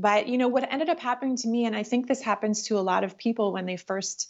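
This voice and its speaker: A woman with a Canadian accent uses an ordinary speaking voice, fairly high in pitch, with ordinary pitch variation. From Canada, Ottawa. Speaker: spiritual teacher. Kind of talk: interview.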